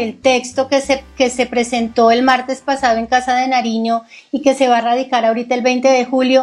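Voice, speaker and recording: This is a woman's voice. Her pitch is high. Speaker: interviewer, co-host. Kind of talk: political interview. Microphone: video call.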